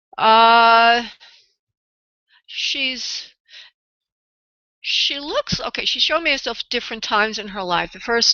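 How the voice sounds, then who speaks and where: A woman's fairly high-pitched voice with a New York accent, ordinary pitch variation, a very slow pace and long, frequent pauses. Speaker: psychic medium radio host. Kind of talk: live radio psychic readings. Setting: live radio show with callers. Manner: halting.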